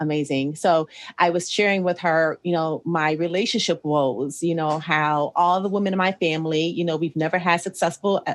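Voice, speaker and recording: Against a quiet background, a woman with an American accent uses a normal speaking voice, fairly low in pitch, at a fairly quick pace with fairly even intonation. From Ohio, US Midwest. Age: 40s. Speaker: podcast host, restaurant manager. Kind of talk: casual interview chat. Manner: conversational, frequent fillers.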